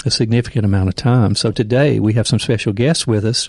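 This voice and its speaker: Noticeable noise fills the background. The speaker moves at a fairly quick pace. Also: man. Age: 60s. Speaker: pastor and podcast host. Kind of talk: casual podcast conversation.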